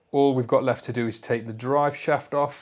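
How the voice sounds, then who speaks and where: A man speaks in a British accent. His intonation stays fairly even. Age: 40s. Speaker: motorcycle restoration YouTuber. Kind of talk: casual workshop vlog.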